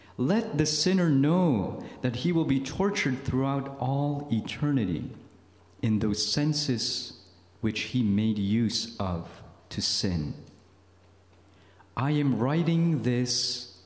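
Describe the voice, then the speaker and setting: A man speaking at a very slow pace amid audible room echo. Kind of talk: retreat talk, reading aloud. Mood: solemn, grave. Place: meeting room. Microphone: podium.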